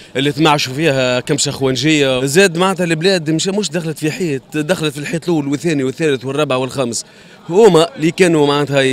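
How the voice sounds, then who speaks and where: The man's speech rushes along very fast, and his pitch rises and falls in an ordinary way. There is no echo at all, so the sound is dry. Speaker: interviewee. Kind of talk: interview answer. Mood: critical, complaining about prices. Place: market. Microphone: handheld.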